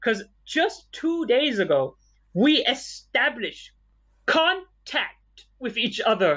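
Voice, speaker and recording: A man's extremely high, raised and projected voice with a Malaysian accent, very wide pitch swings, and a very slow pace. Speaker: podcast co-host. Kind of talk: casual chat.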